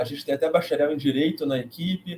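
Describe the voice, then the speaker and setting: A man's somewhat breathy voice carries fairly even intonation. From Brazil, Rio de Janeiro. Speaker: math education professor and live host. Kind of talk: online course live presentation. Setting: livestream.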